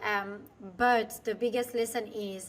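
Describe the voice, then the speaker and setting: The intonation is monotone and flat, with a French accent. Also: woman. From France. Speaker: business coach, former finance executive. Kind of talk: interview. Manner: halting, with many fillers.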